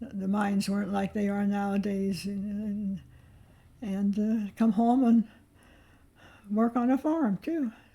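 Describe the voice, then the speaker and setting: A woman speaks at a very slow pace with long, frequent pauses, her voice somewhat breathy. Her tone is dark and mellow, with a medium pitch and ordinary pitch variation. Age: 80s+. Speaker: retired farm-raised grandmother. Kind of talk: interview answer. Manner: reminiscing, hesitant.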